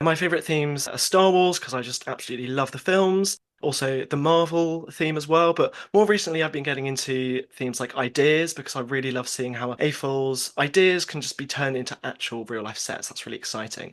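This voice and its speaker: Against a quiet background, a man with a British accent talks at a fairly quick pace with hardly any pauses, his fairly high pitch showing ordinary variation and his loudness swinging widely. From UK. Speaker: podcast host, blog founder. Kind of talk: casual chat.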